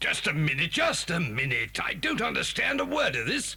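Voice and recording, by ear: A man does a put-on character voice, fairly high in pitch, bright and sharp in tone, with vocal fry. He moves at a moderate pace, his pitch swinging very widely.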